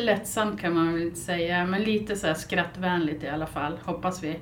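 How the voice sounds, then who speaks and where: A woman's fairly low voice with ordinary pitch variation, audible room echo and noticeable background noise. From northern Sweden, Byske (Västerbotten). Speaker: podcast co-host. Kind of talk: casual chat.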